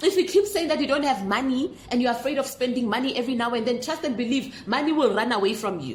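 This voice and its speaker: Shouting loudly at a very fast pace, a woman with a high pitch uses lively intonation and a passionate, animated tone over noticeable background noise. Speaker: manifestation coach. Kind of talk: motivational talk to camera. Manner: loud, feels like yelling.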